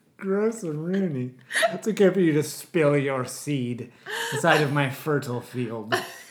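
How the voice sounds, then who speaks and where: A man's fairly high voice, fairly slow with lively intonation, against noticeable background noise. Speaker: podcast host. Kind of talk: casual chat. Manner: joking, playful.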